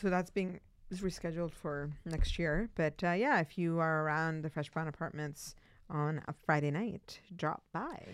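A woman's fairly low voice with fairly even intonation at a fairly slow pace, in a very clean recording with a silent background. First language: not English. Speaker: city councilor and podcast co-host. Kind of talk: casual chat. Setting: studio.

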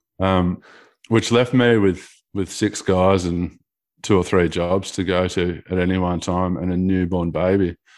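With an Australian accent, a man speaks at a fairly slow pace in a very deep, low pitch, his intonation fairly even, on a very clean recording with a silent background. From Australia (Geelong, Victoria). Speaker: carpenter and app developer. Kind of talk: casual chat.

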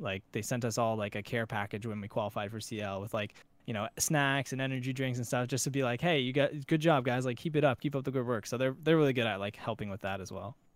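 In a very clean recording with a silent background, a man with an unremarkable speaking voice talks fairly quickly at medium pitch with ordinary pitch variation. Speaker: esports player. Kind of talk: casual interview chat.

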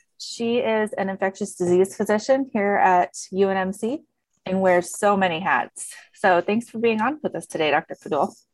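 A woman with an American accent and a normal speaking voice talks at a medium pitch and moderate pace with ordinary pitch variation, her sound dry and close with no echo. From US rural farming community. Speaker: podcast co-host, infection prevention professional. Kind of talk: casual chat.

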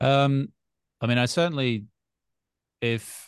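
A man with an Australian accent. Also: quiet background. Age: 30s. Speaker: sobriety podcaster. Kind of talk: casual chat.

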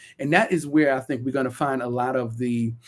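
A man with a Brooklyn accent speaks in a medium pitch at a moderate pace with ordinary pitch variation, in a very clean recording with a silent background. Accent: Brooklyn New York. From Brooklyn, New York. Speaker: community organizer and educator. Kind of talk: interview.

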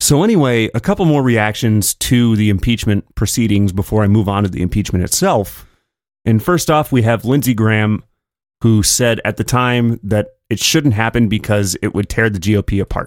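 A man speaks at medium pitch and a moderate pace with ordinary pitch variation, an ordinary speaking voice. The recording is very clean, with a silent background and a dry, close sound with no echo. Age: 30s. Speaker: podcast host. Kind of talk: solo political commentary podcast. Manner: casual, conversational.

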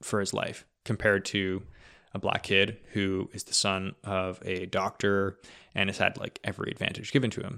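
In a Canadian accent, a man with a fairly low pitch and a bright, sharp tone speaks at a moderate pace in monotone, flat intonation, on a very clean recording with a silent background. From Ontario, Canada. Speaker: podcast host. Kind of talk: casual chat.

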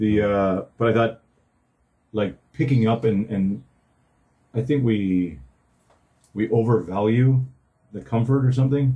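A man with a Canadian accent speaks fairly slowly, leaving long, frequent pauses. His voice is somewhat breathy. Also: medium pitch for a man, ordinary pitch variation. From northern Ontario, Canada. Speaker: podcast co-host. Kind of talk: casual chat.

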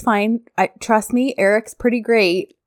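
Recorded very cleanly with a silent background, a woman's fairly high voice sounds dry and close with no echo. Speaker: podcast co-host recapping a TV series. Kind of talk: casual chat. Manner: animated.

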